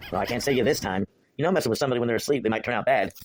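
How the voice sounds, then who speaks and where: Using a cartoonish character voice, a man rattles along at a very fast pace in a medium pitch. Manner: dry, exasperated.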